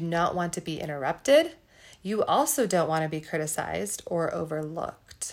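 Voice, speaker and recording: In a very clean recording with a silent background, a woman with an unremarkable speaking voice talks at a moderate pace, her pitch fairly low. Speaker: podcast co-host. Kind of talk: educational podcast explanation.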